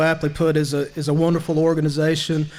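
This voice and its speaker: A man's fairly high-pitched voice with a Southern US accent, set in audible room echo. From US South. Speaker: nonprofit leader. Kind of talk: banquet speech. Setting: banquet hall with audience.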